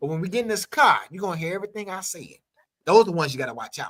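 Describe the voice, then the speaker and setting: A man speaks loudly. His pace is very fast. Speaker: talk show host. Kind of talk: casual panel debate.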